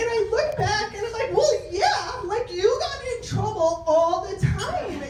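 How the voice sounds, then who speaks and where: A loud, animated woman at an extremely high pitch, with noticeable background noise and audible room echo. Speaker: health and wellness coach. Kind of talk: presentation to a networking group.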